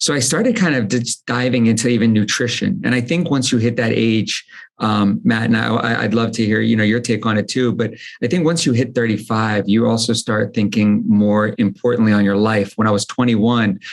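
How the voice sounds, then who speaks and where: A man with an American accent speaks at a fairly quick pace with a medium pitch and fairly even intonation. He has a plain, everyday voice, and his loudness stays very even. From United States. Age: 40s. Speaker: entrepreneur, supplement company founder. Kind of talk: podcast interview, casual chat.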